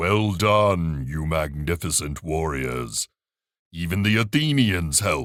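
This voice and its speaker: In a put-on character voice, a man booms at a fairly slow pace with a very deep, low pitch. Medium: read story. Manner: warm, jovial.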